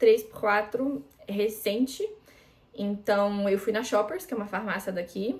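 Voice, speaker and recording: A woman speaks at a fairly slow pace with big swings in loudness amid noticeable background noise. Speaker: international student and vlogger. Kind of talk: casual tutorial vlog. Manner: casual, with many fillers.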